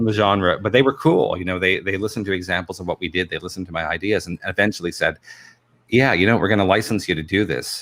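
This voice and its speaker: A man with a very deep, low voice speaks at a very fast pace with ordinary pitch variation, on a very clean recording with a silent background. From England. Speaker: film director and voice actor. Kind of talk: interview. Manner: halting, many repetitions.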